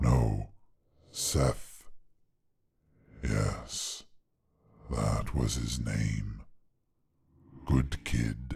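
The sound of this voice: A man speaks very slowly in a put-on character voice, his pitch extremely low with vocal fry and a slightly mellow tone, the intonation fairly even and broken by long, frequent pauses.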